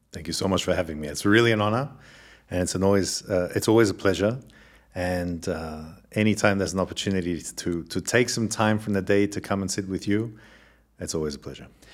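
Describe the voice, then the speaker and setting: A man with an Australian accent, a very deep, low pitch, ordinary pitch variation and a very fast pace. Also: very clean recording, silent background. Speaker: scientist and communications executive. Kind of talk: interview conversation.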